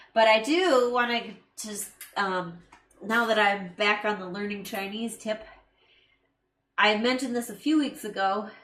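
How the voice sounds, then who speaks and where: With an American accent, a woman speaks at a moderate pace with ordinary pitch variation. Audible room echo surrounds her voice. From USA. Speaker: live stream co-host, filmmaker. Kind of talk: casual chat. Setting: live stream.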